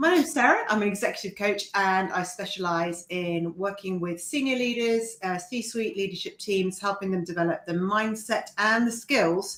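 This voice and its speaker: The speaker keeps a moderate pace and ordinary pitch variation, with noticeable background noise behind. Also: woman. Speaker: executive coach. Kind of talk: live-stream panel chat. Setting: live video stream.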